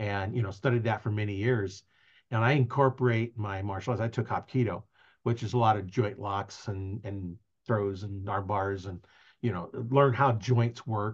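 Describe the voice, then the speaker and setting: This man sounds somewhat breathy, keeping a moderate pace and fairly even intonation. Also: fairly low pitch for a man, quiet background. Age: 60s. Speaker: podcast host. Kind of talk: casual interview. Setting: video recording, live on Facebook.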